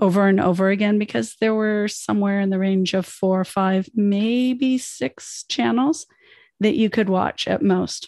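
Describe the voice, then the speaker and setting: In a Canadian accent, an unremarkable speaking voice moves at a fairly slow pace with ordinary pitch variation, dry and close with no echo over a quiet background. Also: woman. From United States, moved to Canada as a child. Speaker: podcast host, life coach. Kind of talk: podcast monologue, self-help.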